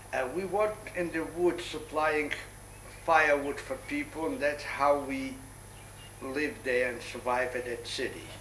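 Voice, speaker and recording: The recording has audible room echo and noticeable background noise, with speech at a moderate pace and ordinary pitch variation. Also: man, fairly high pitch for a man. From Poland. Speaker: Holocaust-era survivor recounting life story. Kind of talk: oral history interview. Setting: son's apartment in Jerusalem.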